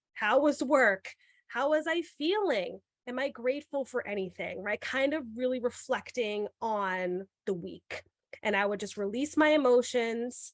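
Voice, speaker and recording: In a slight New York accent, a woman with a high pitch and lively intonation speaks at a fairly slow pace, the sound dry and close with no echo. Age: young. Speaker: podcast host and middle school teacher. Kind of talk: podcast interview.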